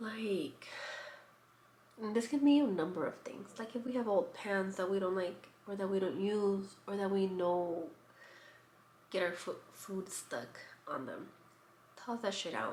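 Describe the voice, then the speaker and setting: A soft-spoken woman at a fairly slow pace, lively in intonation, with long, frequent pauses and audible room echo. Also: medium pitch for a woman. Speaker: lifestyle vlogger. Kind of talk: casual vlog talk. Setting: at home.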